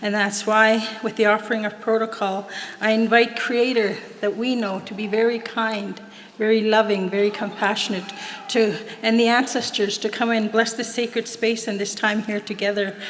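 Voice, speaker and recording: Fairly high-pitched and monotone, a woman with a western Canadian accent speaks flatly amid noticeable background noise and audible room echo. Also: moderate pace. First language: Plains Cree. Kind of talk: ceremonial invocation and prayer. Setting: stage at graduation ceremony with audience.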